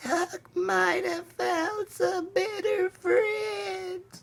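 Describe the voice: Extremely high in pitch, a put-on character voice drawls at a very slow pace.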